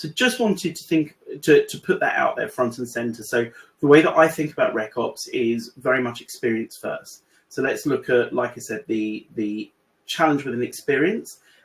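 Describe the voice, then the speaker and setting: Speaking with a British accent, a man moves at a fairly quick pace. His loudness rises and falls in big swings. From UK. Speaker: AI consultant in recruitment. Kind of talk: webinar presentation. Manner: hesitant, many fillers.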